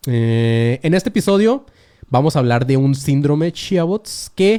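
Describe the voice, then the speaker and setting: A man with a Mexican accent speaks in a dark, mellow tone. His intonation is lively. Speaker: podcast host. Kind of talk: casual monologue podcast. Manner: fast.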